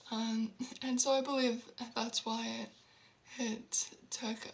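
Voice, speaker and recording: A woman's fairly high, flat, monotone voice at a very slow pace, with noticeable background noise. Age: 20s. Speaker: vlogger who stutters. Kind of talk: personal story monologue. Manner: halting, with repetitions and fillers; unhurried.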